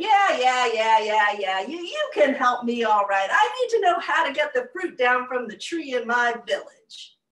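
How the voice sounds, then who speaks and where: In a put-on character voice, a woman talks high and fairly slowly with hardly any pauses, a slight echo around her. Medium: stage play. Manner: complaining, self-satisfied.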